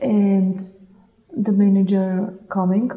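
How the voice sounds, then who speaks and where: A woman speaks with a Russian accent in a flat, monotone delivery. There is noticeable noise in the background. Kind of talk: casual chat.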